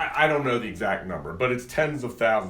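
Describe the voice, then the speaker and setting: Audible room echo surrounds a man speaking at a medium pitch and a fairly quick pace, with lively intonation. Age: 60s. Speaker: lawyer giving a travel briefing. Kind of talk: talk with slides to a live audience. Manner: animated storytelling.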